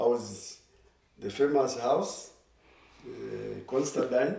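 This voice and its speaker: Audible room echo mixed with noticeable background noise. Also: man. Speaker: former student, alumni group chair. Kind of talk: casual interview.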